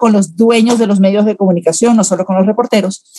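A woman speaks at a medium pitch in a dark, mellow tone. Her intonation stays monotone and flat. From Venezuela. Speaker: public relations consultant. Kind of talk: interview.

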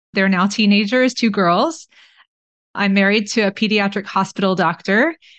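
A woman with an American accent, medium pitch and a plain, everyday voice, against a quiet background. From Texas (Austin). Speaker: family physician and author. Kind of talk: interview.

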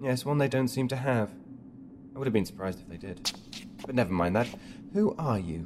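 Music in the background behind a man of medium pitch, fairly quick and lively in intonation, with long, frequent pauses. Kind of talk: dramatic audio drama dialogue.

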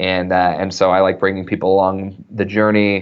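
Speaking at a moderate pace, a man with an American accent and a fairly low pitch has an unremarkable speaking voice. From US West, small-town Idaho. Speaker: author and content marketing entrepreneur. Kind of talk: interview.

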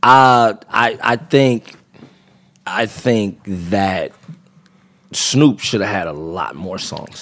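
With an American accent, a man speaks very slowly at a medium pitch, leaving long, frequent pauses. His intonation is lively and his loudness swings widely. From California, Los Angeles area (Compton). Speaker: rapper. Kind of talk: casual chat. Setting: studio.

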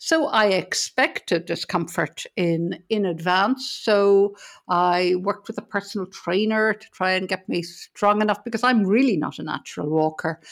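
A woman with an Irish accent speaks with hardly any pauses. The recording is very clean, with a silent background. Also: medium pitch for a woman, ordinary pitch variation, moderate pace. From Ireland. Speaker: business consultant and hospice charity chair. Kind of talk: casual interview.

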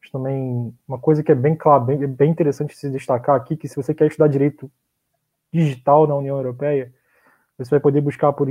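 Talking at a fairly quick pace, a man with a fairly high pitch keeps a monotone, flat intonation. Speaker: law graduate who studied abroad. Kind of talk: casual chat.

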